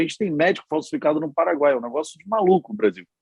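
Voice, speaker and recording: A man at a fairly high pitch with an animated tone and a very fast pace, in a dry, close sound with no echo. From Rio de Janeiro, Brazil. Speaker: politician and physician. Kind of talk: panel discussion.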